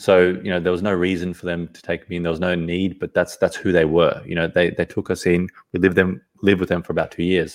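Very fast and monotone, a man with an Australian accent speaks in a very deep, low pitch with flat intonation. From Sydney, Australia. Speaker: podcast guest. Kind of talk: casual interview. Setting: video call.

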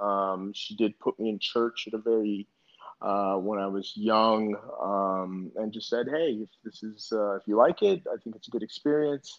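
With big swings in loudness, a man talks at a moderate pace with ordinary pitch variation. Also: fairly low pitch for a man. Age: 40s. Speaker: real estate business owner and mentor. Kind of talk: interview. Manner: halting, many fillers.

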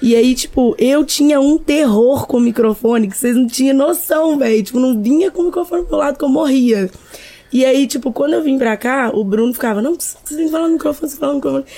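A woman speaks very fast at a high pitch with ordinary pitch variation. Noticeable background noise sits behind her. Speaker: DJ and music producer. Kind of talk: podcast interview.

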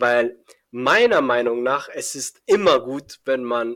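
The man's pitch varies in an ordinary way. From Iran, Afghan family. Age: young. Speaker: young programmer and startup founder. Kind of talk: podcast interview. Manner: hesitant, many fillers.

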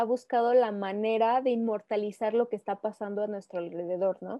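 A woman speaks at a moderate pace in a plain, everyday voice. Her pitch is fairly high, with ordinary pitch variation. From Mexico, Aguascalientes. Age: 20s. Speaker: photographer. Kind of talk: casual interview.

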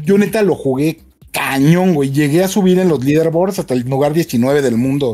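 Lively intonation and a dark, mellow tone at a moderate pace, with a Mexican accent. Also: man. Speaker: video game show co-host. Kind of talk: casual chat. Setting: remote video call.

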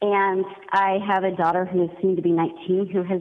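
A woman speaks at a moderate pace in an unremarkable speaking voice, her pitch medium and her intonation fairly even. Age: 30s. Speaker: caller, mother. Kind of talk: radio call-in. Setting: phone call.

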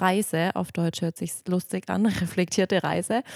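In a very clean recording with a silent background, a woman talks at a fairly slow pace with a fairly low pitch. It is a plain, everyday voice, and the sound is dry and close with no echo. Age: 30s. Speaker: yoga teacher and podcast co-host. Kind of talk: casual podcast introduction.

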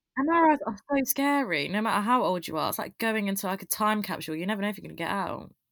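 A woman with an English Midlands accent speaks very fast at medium pitch, with lively intonation and hardly any pauses. The recording is very clean, with a silent background. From English East Midlands (Loughborough). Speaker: university student. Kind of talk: casual chat.

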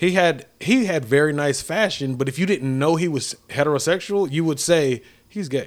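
Animated and at a moderate pace, a man talks at a fairly high pitch with ordinary pitch variation. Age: 30s. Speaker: podcast co-host. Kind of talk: casual chat.

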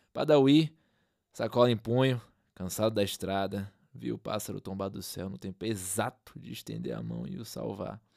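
With a Brazilian accent and a fairly low pitch, a man speaks at a moderate pace, his pitch swinging very widely and his loudness rising and falling sharply. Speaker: narrator and podcast host. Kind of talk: dramatic literary narration, reading a short story aloud. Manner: measured, atmospheric, ominous storyteller pacing; solemn, lyrical, with suspenseful pauses.

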